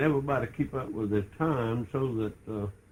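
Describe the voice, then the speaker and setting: A somewhat breathy voice with an American accent and ordinary pitch variation. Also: man. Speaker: grandfather telling family church history. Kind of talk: casual storytelling, oral history recollection.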